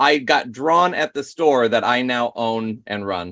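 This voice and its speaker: A man with an American accent at a moderate pace, bright and sharp in tone, with a dry, close sound and no echo. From Michigan, US Midwest. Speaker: caricature artist. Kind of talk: interview.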